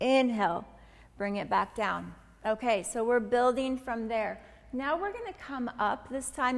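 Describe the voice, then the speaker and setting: The speaker is a woman with a high voice. Her pitch varies in an ordinary way. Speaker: pilates instructor. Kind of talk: tutorial. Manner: slow.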